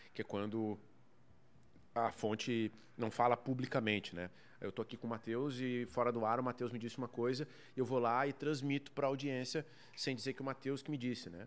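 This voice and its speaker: With a southern Brazilian accent, a man talks at a fairly quick pace and a medium pitch, with fairly even intonation and long, frequent pauses. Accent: gaúcho Brazilian Portuguese. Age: 30s. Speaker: sports journalist. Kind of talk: casual interview. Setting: bar recording space.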